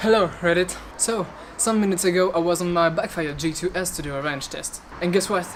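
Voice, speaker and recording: A woman with a fairly low pitch speaks at a fairly quick pace with fairly even intonation over noticeable background noise. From Belgium. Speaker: electric skateboard vlogger. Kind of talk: casual vlog. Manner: halting.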